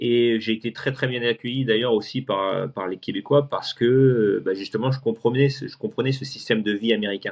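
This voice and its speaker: A man's medium-pitched voice at a moderate pace, with fairly even intonation and hardly any pauses. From France, moved to Houston at 16. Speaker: guest telling his life story. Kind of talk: interview conversation. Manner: hesitant, many fillers and repetitions.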